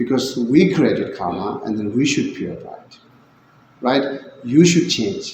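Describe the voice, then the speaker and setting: Male voice at medium pitch with lively intonation, over noticeable background noise. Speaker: Buddhist teacher. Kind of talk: dharma talk.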